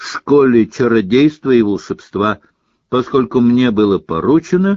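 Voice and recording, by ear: Over a quiet background, the speaker is reading aloud in a natural voice with lively intonation.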